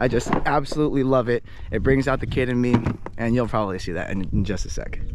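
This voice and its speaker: A man at medium pitch, very fast and excited, animated in tone, with ordinary pitch variation over noticeable background noise. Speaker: outdoor animal vlogger. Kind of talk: outdoor vlog narration. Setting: outdoors by a creek. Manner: lowered, quieter voice.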